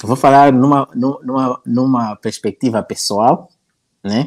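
This man speaks at a very slow pace in a medium pitch. The sound is dry and close, with no echo. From northern Mozambique (Nampula). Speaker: YouTuber on African topics. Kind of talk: casual interview chat.

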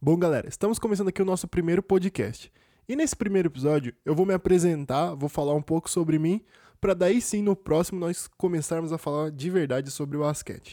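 A dark, mellow tone with ordinary pitch variation, dry and close with no echo, on a very clean recording against a silent background. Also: man, high pitch for a man. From Brazil, interior of São Paulo state (Cosmópolis, near Campinas). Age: 20s. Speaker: basketball podcaster. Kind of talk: casual solo podcast monologue. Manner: casual, slangy, with hesitations.

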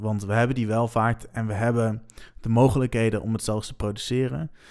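Recorded very cleanly against a silent background, a man with an ordinary speaking voice talks at a medium pitch and a moderate pace. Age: 20s. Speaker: student and drummer. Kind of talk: podcast interview.

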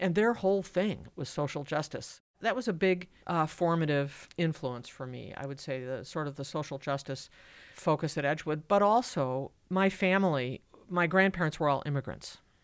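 A woman's very deep, low voice with an American accent, ordinary pitch variation, a moderate pace, and a very clean recording over a silent background. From US Midwest, Madison, Wisconsin. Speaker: law lecturer and former government executive. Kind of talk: interview.

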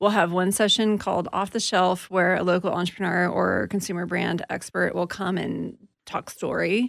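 Her voice carries vocal fry at a medium pitch. The woman is recorded against a quiet background. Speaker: venture fund investor. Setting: studio.

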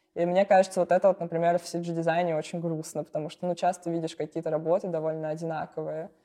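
Speaking very fast with hardly any pauses, a woman keeps a monotone, flat intonation and a dark, mellow tone. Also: fairly low pitch for a woman. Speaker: CG artist and art director. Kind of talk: casual interview.

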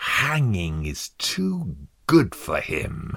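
A man's growling, put-on character voice, very deep and low, with very wide pitch swings. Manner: snarling, vicious.

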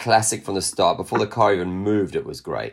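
A man speaks at a very fast pace with ordinary pitch variation. The recording is very clean, with a silent background. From South Africa. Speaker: stunt coordinator. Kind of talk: interview.

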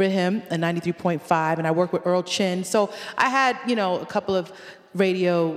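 In an American accent, a woman talks at a fairly slow pace with ordinary pitch variation over noticeable background noise. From Connecticut, US; Jamaican family. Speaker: reggae artist and educator. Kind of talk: casual interview chat.

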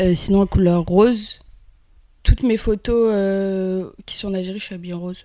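Her voice is dark and mellow at a medium pitch, with a monotone, flat intonation. The woman keeps a moderate pace while her loudness swings widely. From Algeria, Kabylie. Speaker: actress. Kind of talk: casual interview. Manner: hesitant.

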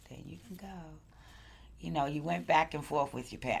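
A woman with an American accent speaks over audible room echo. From Brooklyn, New York (Crown Heights). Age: 50s. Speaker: longtime Brooklyn resident sharing life story. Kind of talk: oral history interview. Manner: conversational, with frequent hesitations.

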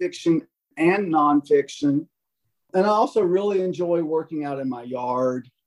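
This man's voice sits high in pitch. He keeps a moderate pace. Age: 60s. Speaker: music professor. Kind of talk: interview.

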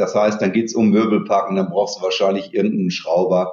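His voice carries audible room echo. The man's delivery moves at a fairly quick pace. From Dortmund, Germany. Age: 50s. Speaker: company CEO. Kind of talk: interview.

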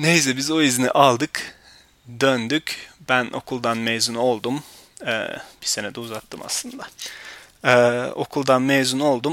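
Speaking with fairly even intonation, a man holds a medium pitch and moves very slowly. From Turkey. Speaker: podcast host. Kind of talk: personal storytelling monologue.

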